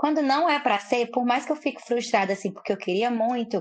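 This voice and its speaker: A woman talks with a Ceará accent. Her voice is high and her pace fairly quick. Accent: Northeastern Brazilian (Cearense). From Fortaleza, Ceará, Brazilian Northeast. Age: 20s. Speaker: social media personality. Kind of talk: casual chat.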